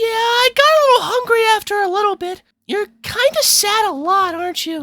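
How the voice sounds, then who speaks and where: The speaker uses a put-on character voice, extremely high in pitch and moderate in pace. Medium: voice reel. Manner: casual, foul-mouthed.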